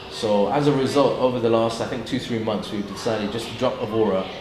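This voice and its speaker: Talking very fast with a British accent, a man of medium pitch keeps a monotone, flat intonation. Noticeable background noise runs underneath. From UK. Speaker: YouTuber. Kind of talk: interview answer. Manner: casual, hesitant.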